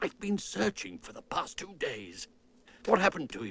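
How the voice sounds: This cartoonish character voice moves along at a moderate pace. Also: man.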